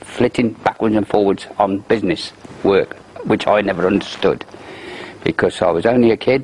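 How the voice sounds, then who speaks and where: A man at a moderate pace, ordinary pitch variation, noticeable background noise. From English Midlands, Banbury. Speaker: war survivor. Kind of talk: testimony.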